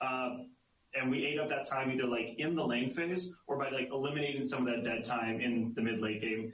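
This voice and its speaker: With noticeable background noise and audible room echo, a man speaks at medium pitch with fairly even intonation. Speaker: game designer on a balance team. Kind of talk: podcast interview explaining data. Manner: fast.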